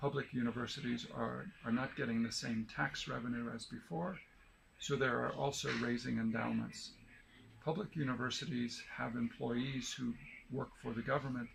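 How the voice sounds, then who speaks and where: Using a plain, everyday voice, a man with an American accent speaks at a medium pitch and moderate pace with fairly even intonation. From United States. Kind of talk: explanatory interview answer.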